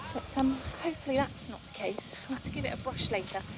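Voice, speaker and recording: A woman talks at a very fast pace in a high pitch. Background noise is noticeable. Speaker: vlogger. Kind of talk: casual walking vlog. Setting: outdoors by the sea. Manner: quiet.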